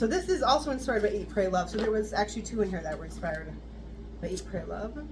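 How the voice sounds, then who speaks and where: A woman talks at a very fast pace, with noticeable background noise and audible room echo. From US West Coast (southern California). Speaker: fragrance reviewer. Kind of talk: product review. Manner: reading notes aloud.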